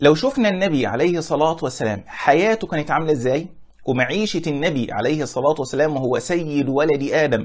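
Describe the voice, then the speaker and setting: With lively intonation and a moderate pace, a man speaks against a quiet backdrop. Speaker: religious teacher. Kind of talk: lecture. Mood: warm, smiling explanation. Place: home room. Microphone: lapel.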